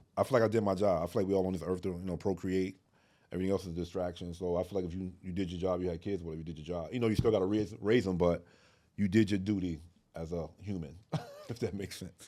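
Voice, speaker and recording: Music in the background behind a man with a very deep, low pitch, talking very fast with fairly even intonation. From Newark, New Jersey. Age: 40s. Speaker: filmmaker. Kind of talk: podcast interview. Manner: casual, conversational.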